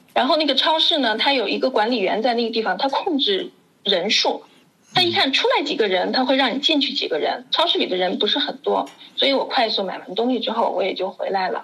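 A woman talks fairly quickly in a high voice with very wide pitch swings. Noticeable background noise runs underneath. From China, Wuhan. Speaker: education expert. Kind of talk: casual chat.

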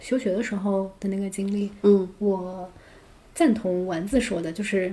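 Somewhat breathy and dark and mellow in tone, a woman speaks at medium pitch and a fairly slow pace. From China. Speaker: English educator and podcast host. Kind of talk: casual chat.

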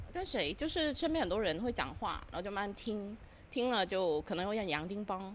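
Her pitch medium but swinging very widely, a woman talks at a fairly quick pace. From Guangdong. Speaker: podcast guest. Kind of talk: casual chat.

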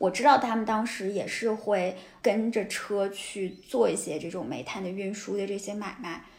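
Amid audible room echo, a woman at medium pitch talks at a moderate pace with ordinary pitch variation, big swings in loudness and hardly any pauses. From Taiyuan, Shanxi, northern China. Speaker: writer and city observer, host's colleague. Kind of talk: casual chat.

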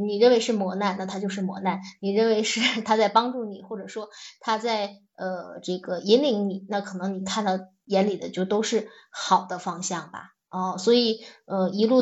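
A woman speaks at a moderate pace and a medium pitch. Her intonation is fairly even, while her loudness swings widely. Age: 40s. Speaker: teacher turned manager. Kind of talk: personal reflection talk. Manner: halting, many fillers.

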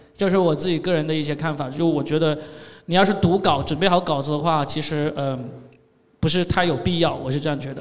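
Audible room echo surrounds a man talking at a very fast pace. His pitch is fairly high and his intonation fairly even. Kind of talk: panel discussion.

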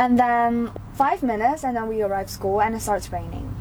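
Over noticeable background noise, a woman talks at a moderate pace with fairly high pitch and ordinary pitch variation. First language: Mandarin Chinese. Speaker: student. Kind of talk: casual chat; reading aloud.

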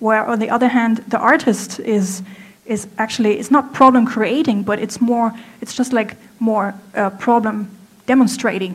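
Fairly slow, fairly even speech from a woman with a German accent and fairly high pitch, set against noticeable background noise. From Germany. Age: 30s. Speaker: apparel designer. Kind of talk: stage talk. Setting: stage with audience. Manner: halting.

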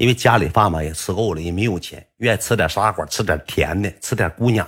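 In a very clean recording with a silent background, a man speaks with a Northeastern Chinese accent at a fairly quick pace. His fairly low, somewhat breathy voice has an animated tone. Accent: Northeastern Mandarin. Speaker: storyteller. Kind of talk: casual storytelling monologue.

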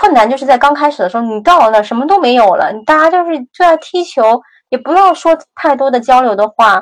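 A woman's high-pitched voice with lively intonation, a fairly quick pace and hardly any pauses. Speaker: graduate student and former tech worker. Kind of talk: interview conversation. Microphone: some noise and echo.

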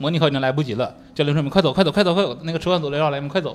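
A man speaks in a fairly high pitch. Noticeable background noise is present. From Northeast China. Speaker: stand-up comedian. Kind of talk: casual chat. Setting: stage with audience.

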